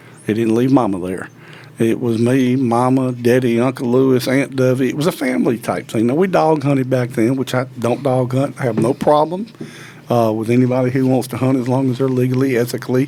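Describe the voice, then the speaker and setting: Through noticeable background noise, a man with a Mississippi accent and medium pitch speaks at a fairly quick pace with fairly even intonation. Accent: Southern US, Mississippi. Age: 60s. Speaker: professional turkey hunter and call designer. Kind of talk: interview, casual chat.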